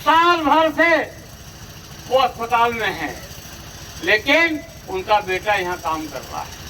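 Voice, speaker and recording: A raised, projected voice with very wide pitch swings, big swings in loudness, long, frequent pauses and noticeable background noise. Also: man, extremely high pitch for a man. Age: 70s. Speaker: politician. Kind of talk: campaign speech. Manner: animated.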